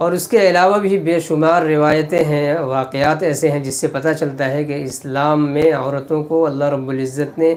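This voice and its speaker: A man speaks in a plain, everyday voice at a fairly high pitch. His intonation stays fairly even. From India. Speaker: Islamic cleric. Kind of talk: religious sermon.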